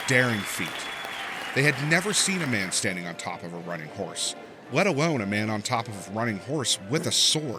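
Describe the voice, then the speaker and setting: A man at a fairly quick pace with very wide pitch swings, music in the background. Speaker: narrator. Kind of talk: children's history story narration.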